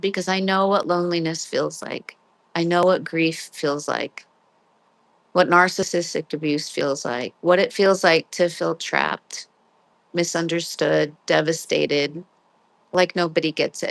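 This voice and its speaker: A woman's fairly low, monotone voice with flat intonation, at a fairly slow pace, dry and close with no echo, over a quiet background. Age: 50s. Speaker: livestream host on grief and narcissistic abuse. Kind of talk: live-stream chat reading viewer comments.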